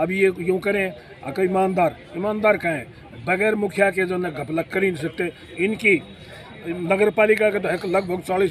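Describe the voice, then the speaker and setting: A man's high voice with fairly even intonation amid noticeable background noise. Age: 70s. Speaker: opposition party leader. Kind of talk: street interview.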